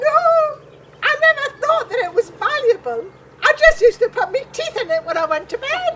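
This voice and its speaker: A woman uses a put-on character voice at an extremely high pitch. She keeps a moderate pace. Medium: comedy sketch.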